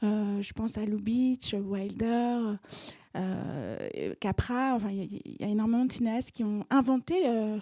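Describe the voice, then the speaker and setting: A woman's fairly high voice, dark and mellow in tone, with ordinary pitch variation and a very slow pace. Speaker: author and screenwriter. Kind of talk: lecture. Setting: stage with audience. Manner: hesitant, many fillers.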